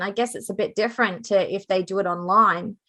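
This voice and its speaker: A woman talks at a fairly quick pace with an Australian accent. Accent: Australian, noticeable. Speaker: true crime podcaster. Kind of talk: casual podcast discussion.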